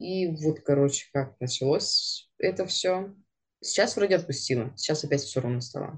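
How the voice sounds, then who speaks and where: A woman with a very deep, low pitch speaks in a somewhat breathy voice with lively intonation. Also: moderate pace. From Siberia, Russia. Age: 30s. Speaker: podcast co-host, targeted-ads specialist on maternity leave. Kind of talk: casual chat.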